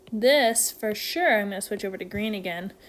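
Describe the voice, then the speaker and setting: Lively intonation marks this woman's speech. Her pitch is medium. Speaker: math teacher. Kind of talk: tutorial. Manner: animated.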